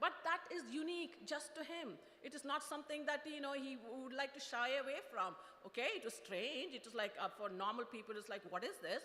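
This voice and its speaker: A woman's high, raised, projected voice with lively intonation. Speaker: product manager, invited speaker. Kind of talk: motivational talk. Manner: fast; halting, many fillers.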